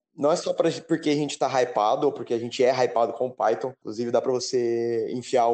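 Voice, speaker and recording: Moderately paced male speech in an ordinary speaking voice at a medium pitch. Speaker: podcast co-host, computer science student. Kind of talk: casual chat.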